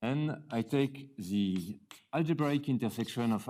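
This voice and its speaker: The pace is fairly slow. The intonation is lively. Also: man. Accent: French. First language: French. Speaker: mathematician. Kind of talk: lecture. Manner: halting, with many fillers.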